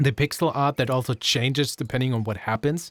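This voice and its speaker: A man speaks at a moderate pace with a non-native accent. The recording is very clean, with a silent background. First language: not English. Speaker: gaming YouTuber. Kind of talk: let's play commentary. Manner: casual, self-correcting.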